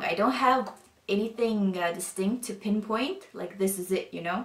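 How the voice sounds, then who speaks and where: Against noticeable background noise, a woman talks at a fairly high pitch and moderate pace, with ordinary pitch variation and big swings in loudness. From Northern Europe. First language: not English; Northern European language. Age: 20s. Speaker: convert sharing her story. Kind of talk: testimony. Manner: casual, hesitant with fillers.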